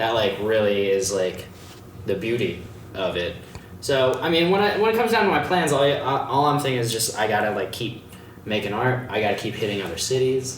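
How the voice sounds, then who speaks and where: A man's medium-pitched voice in an American accent, fairly quick and lively in intonation, with audible room echo and noticeable background noise. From Maryland, Arnold area near Baltimore. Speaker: street artist. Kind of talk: casual interview chat.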